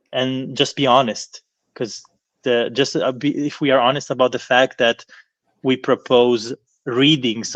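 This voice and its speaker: Speaking very slowly at a medium pitch, a man is heard against a quiet background with a dry, close sound and no echo. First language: not English. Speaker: professor of philology. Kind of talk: lecture Q&A answer. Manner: halting, with many fillers and repetitions.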